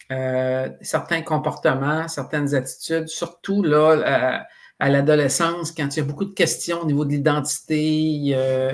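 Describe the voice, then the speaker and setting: A plain, everyday voice speaks at a fairly slow pace with fairly even intonation. The recording is very clean, with a silent background. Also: man, fairly high pitch for a man. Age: 60s. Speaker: psychoeducation expert, author. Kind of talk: interview podcast.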